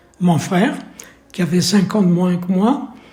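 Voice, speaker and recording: In a room with audible echo, a man speaks very slowly, his high voice dark and mellow in tone, with ordinary pitch variation. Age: 80s+. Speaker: nursing home resident. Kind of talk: testimony. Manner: halting.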